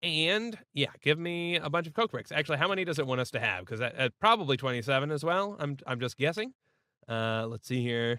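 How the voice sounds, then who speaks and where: With a fairly high pitch and very wide pitch swings, a man speaks at a fairly quick pace in a bright, sharp tone, the sound dry and close with no echo. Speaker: gaming YouTuber. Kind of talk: gameplay commentary. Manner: hesitant, many fillers.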